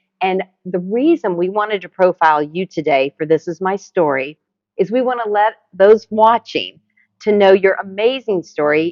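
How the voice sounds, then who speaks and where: Using an ordinary speaking voice, a woman talks at medium pitch and a moderate pace. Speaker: interviewer, video host. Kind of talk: interview questions.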